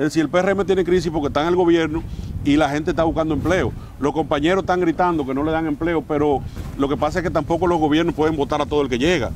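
Very fast and fairly high-pitched, a man speaks with fairly even intonation. The sound is dry with no echo, with light background noise. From Dominican Republic. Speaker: mayor and politician; mayor, politician. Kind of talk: interview. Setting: outdoors in front of the basilica. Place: garden. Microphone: lapel.

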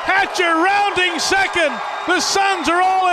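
The sound is dry with no echo, and loud background noise runs underneath. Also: man. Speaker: baseball play-by-play announcer. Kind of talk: live sports play-by-play commentary. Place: stadium. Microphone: headset.

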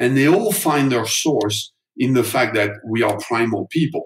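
A man with a French accent speaks in a somewhat breathy voice at a moderate pace, with ordinary pitch variation. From France. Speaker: neuromarketing author and agency founder. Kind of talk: interview.

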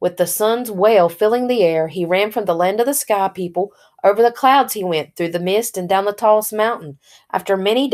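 Ordinary pitch variation runs through an unforced reading voice.

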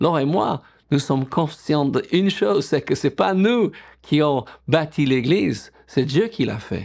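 A man with an English accent speaks at a fairly slow pace. His pitch swings very widely. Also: quiet background. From England. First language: English (speaking French). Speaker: pastor. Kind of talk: sermon. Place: home room.

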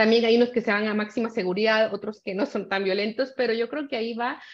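Here a woman speaks at a fairly high pitch. Her pace is fairly quick. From Guatemala. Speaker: panelist on cyber violence; panelist. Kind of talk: panel discussion. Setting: video call. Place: home room. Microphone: webcam.

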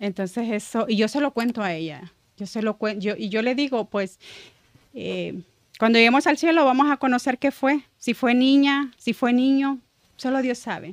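A woman's high voice with ordinary pitch variation against a quiet background. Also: moderate pace, dry sound with no echo. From El Salvador. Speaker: church ministry member; podcast guest. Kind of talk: testimony. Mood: emotional, reflective testimony. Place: studio. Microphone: studio mic.

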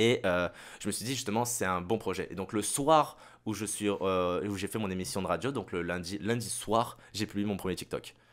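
On a very clean recording with a silent background, a man talks at a moderate pace. He has a normal speaking voice, fairly low in pitch, with ordinary pitch variation. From Saint-Barthélemy (French Caribbean). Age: 20s. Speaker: radio host and content creator. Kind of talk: casual chat.

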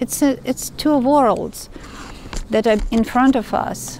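A woman with a high pitch speaks at a very slow pace and with fairly even intonation, the sound dry with no echo and light background noise underneath. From Ukraine. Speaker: tarot reader. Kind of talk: tarot reading monologue. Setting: outdoors in woods. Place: forest.

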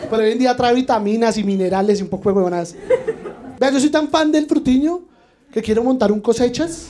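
With light background noise behind him, a man talks at a fairly quick pace in an animated tone, his extremely high voice full of lively intonation. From Colombia. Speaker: stand-up comedian. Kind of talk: stand-up comedy. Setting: stage with audience. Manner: animated, punchy, irreverent delivery with crude slang and mock-outraged emphasis. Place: bar. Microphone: handheld.

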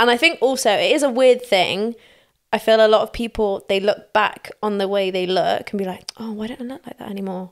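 In a very clean recording with a silent background, a woman talks at a fairly quick pace in a fairly high voice, with ordinary pitch variation and big swings in loudness. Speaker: dancer.

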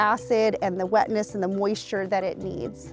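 Faint music plays in the background as a woman speaks at a moderate pace. The sound is dry with no echo. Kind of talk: interview answer. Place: waterside.

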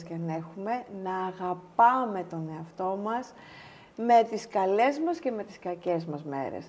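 A woman speaks at medium pitch with a dark, mellow tone. Her pace is fairly slow, and her pitch varies in an ordinary way. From Greece, Halkidiki; Greece. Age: 50s. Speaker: pharmaceutical executive; interview guest. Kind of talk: casual interview. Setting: studio. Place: studio.

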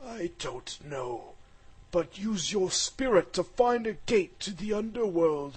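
This put-on character voice has a fairly high pitch. The delivery is fairly slow. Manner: solemn, then alarmed.

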